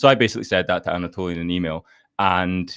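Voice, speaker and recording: A man speaks at a very fast pace with a very deep, low pitch. The recording is very clean, with a silent background. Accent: Scottish. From Scotland, Fife. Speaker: startup founder. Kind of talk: podcast interview. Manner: halting, many repetitions.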